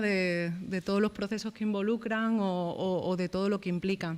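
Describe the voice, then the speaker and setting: A woman speaks at a fairly quick pace and a medium pitch. Her intonation stays fairly even. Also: very clean recording, silent background. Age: 30s. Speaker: journalist and panel speaker. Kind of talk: round-table talk. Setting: panel with live audience. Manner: soft-spoken; halting, many repetitions.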